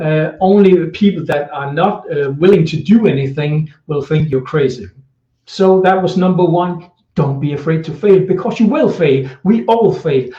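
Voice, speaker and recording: A man's dark, mellow voice, high in pitch, with a Danish accent, a moderate pace and ordinary pitch variation. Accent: Danish accent, non-native English. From Denmark. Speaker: social media marketing coach. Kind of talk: live video tutorial. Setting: indoors, Facebook live stream. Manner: halting, many fillers.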